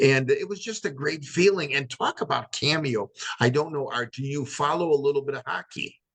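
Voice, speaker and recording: A man speaks in an animated tone at a fairly quick pace, recorded with a dry, close sound and no echo. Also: fairly high pitch for a man, ordinary pitch variation. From Chicago area, US Midwest. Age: 60s. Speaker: retired hockey player and podcast host. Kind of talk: interview.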